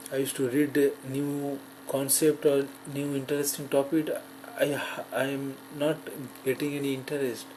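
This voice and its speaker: A man talks at a moderate pace with a fairly high pitch. His intonation is monotone and flat. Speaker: person who stutters, graduate student. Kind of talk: personal testimony. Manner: halting.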